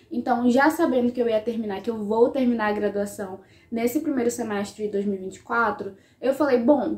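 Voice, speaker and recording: A woman speaks at a fairly quick pace with a fairly high pitch and ordinary pitch variation. Noticeable background noise runs underneath. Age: 20s. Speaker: history student and YouTuber. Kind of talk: casual vlog talk to camera.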